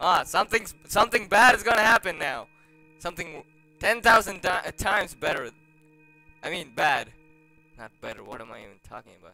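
A man's raised, projected voice, high in pitch, with very wide pitch swings and big swings in loudness, a fairly quick pace broken by long, frequent pauses, and faint music in the background. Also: dry sound with no echo. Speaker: gaming youtuber. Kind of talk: let's play commentary. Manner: animated, exclamatory. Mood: nervous, joking. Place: home room. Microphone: webcam.

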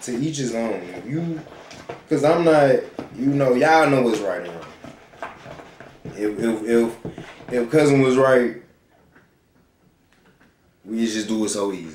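A man at a fairly slow pace with long, frequent pauses and big swings in loudness, audible room echo and light background noise. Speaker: cooking vlogger. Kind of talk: casual vlog chat about faith. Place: kitchen. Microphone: phone near.

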